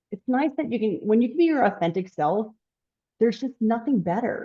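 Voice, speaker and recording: Loud and at a fairly quick pace, a woman talks with very wide pitch swings. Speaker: home building company executive. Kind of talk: interview conversation. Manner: animated.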